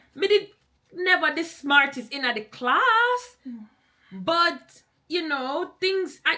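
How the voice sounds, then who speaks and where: Using a raised, projected voice, a woman speaks very slowly at an extremely high pitch, with very wide pitch swings and long, frequent pauses. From Jamaica. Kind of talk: podcast conversation.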